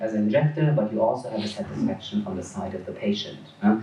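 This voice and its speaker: A man's voice with noticeable background noise. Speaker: dermatologist. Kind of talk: conference lecture. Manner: fast.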